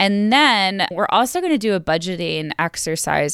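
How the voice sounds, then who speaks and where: A woman with an American accent and an ordinary speaking voice, at a medium pitch and moderate pace, with lively intonation. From New York. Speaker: wildlife biologist and podcast host. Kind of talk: sales pitch; casual interview chat. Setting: video call from parents' house.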